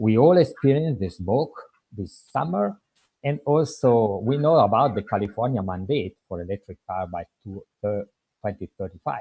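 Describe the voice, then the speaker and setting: A man's dark, mellow, somewhat breathy voice with lively intonation, in a dry, close sound with no echo. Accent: strong Italian. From Italy. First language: Italian. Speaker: public commenter. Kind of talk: public comment.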